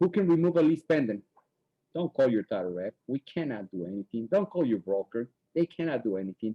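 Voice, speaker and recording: A man talks at a fairly quick pace, his pitch swinging very widely. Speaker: title representative. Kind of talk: webinar presentation.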